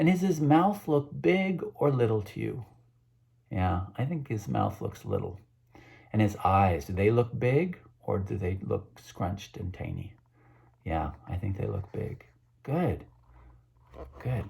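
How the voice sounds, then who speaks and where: A man's fairly low voice with vocal fry, a warm, dark and mellow tone, very wide pitch swings, a fairly slow pace and long, frequent pauses. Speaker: children's book author. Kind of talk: children's book read-aloud. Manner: warm, engaging, asks kids questions.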